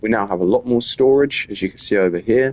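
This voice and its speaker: Music plays behind a man speaking at a fairly quick pace. His pitch varies in an ordinary way. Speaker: gaming youtuber. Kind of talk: let's play commentary. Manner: fast.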